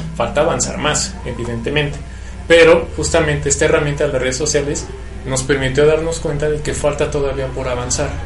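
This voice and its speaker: With music in the background and audible room echo, a man talks at a fairly quick pace. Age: 30s. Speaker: radio co-host. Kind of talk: casual chat.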